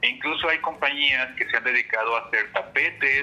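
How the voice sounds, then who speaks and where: The man uses a normal speaking voice at a medium pitch. He talks at a fairly quick pace. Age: 40s. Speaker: writer and wellness entrepreneur. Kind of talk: interview.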